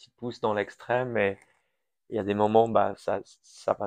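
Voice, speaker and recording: Recorded dry and close with no echo, a man at a medium pitch speaks at a moderate pace in a monotone, flat intonation. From Switzerland/France, Iranian family, partly raised in US. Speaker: crypto company founder. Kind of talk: interview.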